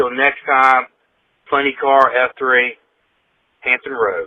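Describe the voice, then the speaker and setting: Very slowly and with fairly even intonation, a man speaks at a medium pitch. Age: 60s. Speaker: fitness group member leaving voice message. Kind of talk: recorded voice message testimony.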